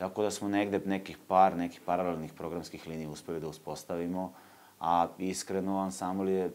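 At a moderate pace, a man talks with a very deep, low pitch and fairly even intonation. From southern Serbia, Leskovac; southern Serbia. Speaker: folk dance ensemble artistic director; guest. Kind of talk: casual interview. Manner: halting. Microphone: lapel.

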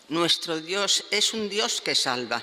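Slowly and with lively intonation, a woman speaks in a fairly low voice with a bright, sharp tone.

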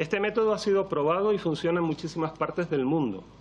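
A man speaks in a high pitch with ordinary pitch variation. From Canary Islands, Spain. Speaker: veterinarian and toxicology professor; toxicology professor. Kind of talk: parliamentary testimony. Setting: parliament committee hearing. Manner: formal. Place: meeting room. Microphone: podium.

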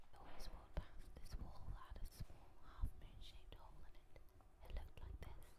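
The speaker whispers. The pace is moderate. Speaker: art student. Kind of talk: personal memoir narration. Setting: outdoors. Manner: soft-spoken.

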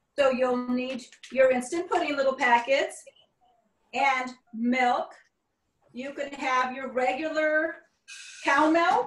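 A woman speaks very slowly at a high pitch with ordinary pitch variation, her voice carrying audible room echo. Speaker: cooking instructor. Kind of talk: tutorial. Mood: warm, friendly. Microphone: video call.

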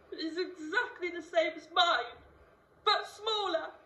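Extremely high pitch from a woman, with audible room echo. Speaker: actor. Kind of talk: theatrical monologue. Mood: emotional, reflective. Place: stage. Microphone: camera far.

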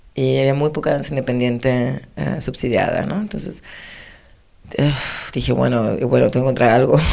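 Over a quiet background, a woman with a very deep, low pitch and a dark, mellow tone talks at a fairly quick pace with vocal fry. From Argentina. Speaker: choreographer; interviewee. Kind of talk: interview. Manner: halting, many restarts. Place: studio. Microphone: handheld.

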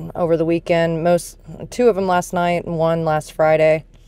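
The recording of this woman has a dry sound with no echo. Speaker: vintage reseller vlogger. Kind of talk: casual vlog chat. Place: car.

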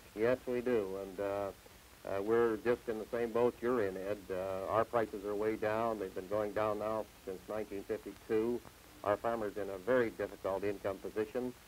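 There is light background noise as a man with fairly low pitch speaks in a monotone, flat intonation at a moderate pace. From Canada, Saskatchewan. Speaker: farm union leader and grain farmer. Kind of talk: TV interview. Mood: earnest, measured. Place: studio. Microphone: lapel.

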